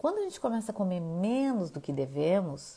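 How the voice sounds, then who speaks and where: Her voice has a dark, mellow tone, and this woman moves at a moderate pace with very wide pitch swings. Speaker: nutritionist. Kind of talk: live talk.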